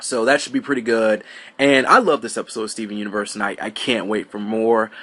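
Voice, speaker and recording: A man puts on a raspy, quiet character voice at a medium pitch, with fairly even intonation. He talks at a very fast pace, with big swings in loudness. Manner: quiet, keeping voice down.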